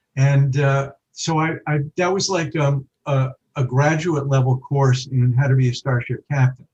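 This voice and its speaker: A somewhat breathy man with an American accent, fairly high pitch, fairly even intonation and a fairly slow pace. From New York. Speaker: writer. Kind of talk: interview.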